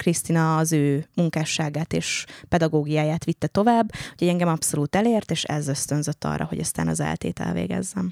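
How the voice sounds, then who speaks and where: Ordinary pitch variation at a moderate pace in a dry, close sound with no echo. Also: woman. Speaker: actor and speech therapist. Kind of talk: casual chat.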